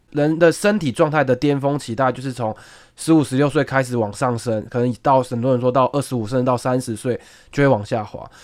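A man speaks fairly quickly in a plain, everyday voice at a medium pitch. The pitch variation is ordinary, and the recording is very clean with a silent background. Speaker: senior sports reporter. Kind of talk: casual chat.

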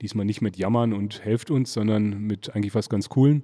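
A man's fairly low, dark, mellow voice at a moderate pace, on a very clean recording with a silent background. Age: 40s. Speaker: brewer. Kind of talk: casual interview. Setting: beer festival.

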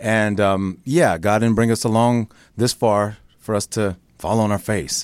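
In an American accent and an unremarkable speaking voice, the speaker goes fairly slowly with fairly even intonation and very even loudness, in a dry, close, very clean recording with a silent background. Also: man, fairly low pitch for a man. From Chicago, then Northern California. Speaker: soap opera actor. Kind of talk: casual interview chat.

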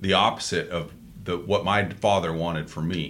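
Audible room echo surrounds a man speaking with vocal fry at a moderate pace. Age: 50s. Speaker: political podcast host. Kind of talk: casual chat.

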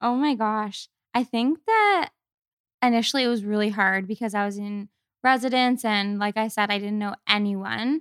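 A woman with a Canadian accent, in a normal speaking voice, speaks at a moderate pace and fairly high pitch with fairly even intonation, heard as a dry, close sound with no echo. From Canada, Kingston, Ontario. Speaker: podcast guest. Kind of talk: casual chat.

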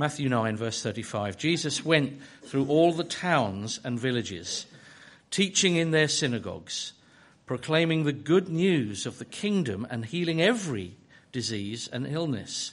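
A man's fairly high voice with very wide pitch swings, at a fairly slow pace against a quiet background. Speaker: church leader. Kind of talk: prayer and scripture reading.

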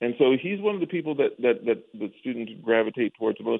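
An ordinary speaking voice from a man with an American accent, medium in pitch, with lively intonation. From Denver, Colorado. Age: 50s. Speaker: jazz musician and professor. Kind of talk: casual interview.

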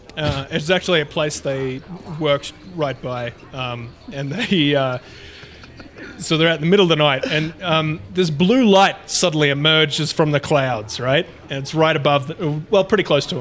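The speaker is a man with an Australian accent and a fairly high voice. He goes at a moderate pace over noticeable background noise. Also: ordinary pitch variation. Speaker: podcast co-host. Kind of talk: casual chat.

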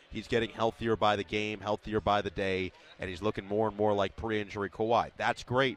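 At a fairly quick pace, a man with a fairly low pitch and a normal speaking voice comes across in a dry, close sound with no echo. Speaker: team play-by-play broadcaster. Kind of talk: sports analysis recap.

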